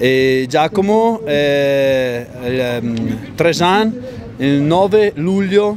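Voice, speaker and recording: With a strong Italian accent, a man talks at a very slow pace with long, frequent pauses and very wide pitch swings at a fairly high pitch. The recording has audible room echo and noticeable background noise. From northern Italy, Bergamo area. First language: Italian (speaking French). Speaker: parent of a young trial rider. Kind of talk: interview. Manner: halting.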